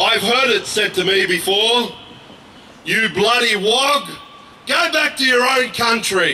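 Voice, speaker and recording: A man with an Australian accent uses a raised, projected voice at an extremely high pitch with ordinary pitch variation and very even loudness. He goes at a very slow pace with long, frequent pauses over light background noise. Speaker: activist; speaker. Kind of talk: protest speech. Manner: impassioned. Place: street. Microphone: handheld.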